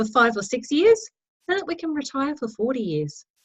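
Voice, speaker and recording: An Australian woman speaks in a high pitch with very wide pitch swings. Her tone is enthusiastic, and she has an Australian accent. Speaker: network marketing team leader. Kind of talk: team training talk.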